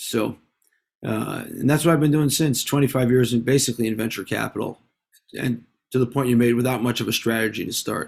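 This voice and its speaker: A man with a New York accent, medium in pitch, at a fairly quick pace with fairly even intonation. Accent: American (New York). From US, New York City (Manhattan). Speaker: venture capitalist and author. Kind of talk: interview. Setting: video call.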